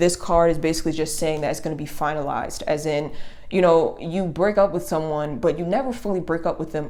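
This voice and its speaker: Audible room echo surrounds a woman whose fairly low voice has a dark, mellow tone. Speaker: tarot reader. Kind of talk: tarot reading to camera. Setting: home video recording, speaker behind the camera. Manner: fast; casual with many fillers.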